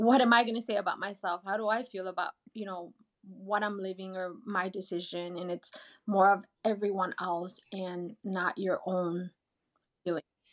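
Her intonation fairly even, a woman speaks at medium pitch. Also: moderate pace. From rural Mexico, raised in US. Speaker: childhood friend of host. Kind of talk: casual chat.

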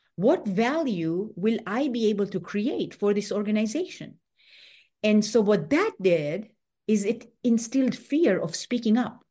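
The voice has a dark, mellow tone, is somewhat breathy and moves at a fairly slow pace. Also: woman, fairly high pitch for a woman, lively intonation. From Tanzania. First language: not English. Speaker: author and former tech executive. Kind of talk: interview. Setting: remote call.

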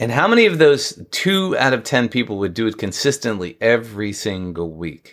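In a very clean recording with a silent background, a man with an American accent and a medium-pitched voice speaks at a moderate pace with very wide pitch swings and hardly any pauses. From New York. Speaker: marketing strategist and author. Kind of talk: casual interview chat.

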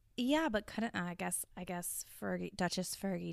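A woman talks with a Southern US accent. The recording is very clean, and the background is silent. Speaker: true crime podcast host. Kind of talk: casual chat.

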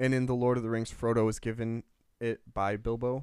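The speaker is a man with a Midwestern US accent. The recording is very clean, with a silent background. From US Midwest. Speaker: podcast co-host. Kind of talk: casual chat, podcast discussion.

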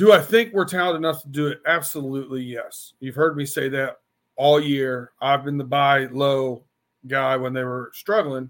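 A fairly high-pitched man with an American accent, at a moderate pace, with ordinary pitch variation. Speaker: sports podcast host. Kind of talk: casual sports chat. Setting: remote call. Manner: animated.

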